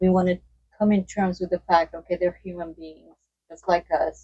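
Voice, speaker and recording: A woman's dark, mellow voice at medium pitch. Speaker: audience member, psychologist. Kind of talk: Q&A at book event. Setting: bookstore with audience.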